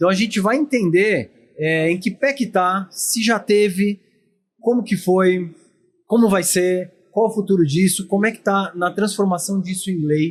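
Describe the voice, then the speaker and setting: A man talks with a São Paulo accent. His pitch is high. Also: ordinary pitch variation, fairly slow pace. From São Paulo, Brazil. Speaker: podcast host. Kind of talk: podcast interview. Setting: at a dental congress event.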